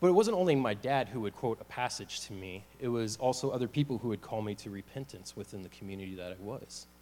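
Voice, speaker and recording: With an American accent, a man talks at a very fast pace with hardly any pauses, using a dark, mellow tone at medium pitch, ordinary pitch variation and big swings in loudness. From US South. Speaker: church member giving a testimony. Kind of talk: personal testimony talk with slides. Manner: casual, with many fillers.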